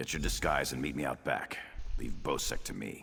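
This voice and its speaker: A man in a put-on character voice, raspy with a very deep, low pitch, at a moderate pace. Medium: video game.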